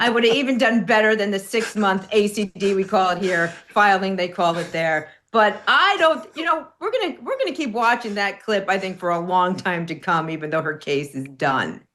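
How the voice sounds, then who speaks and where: The speaker has a New York accent and lively intonation. The pace is moderate, with hardly any pauses. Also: woman, medium pitch for a woman. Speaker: legal commentator. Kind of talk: casual panel discussion.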